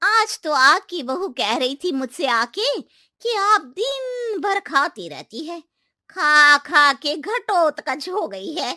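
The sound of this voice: A woman speaks slowly in a cartoonish character voice, pitched high with big swings and a bright, sharp tone. The recording is very clean, with a silent background and a dry, close sound free of echo.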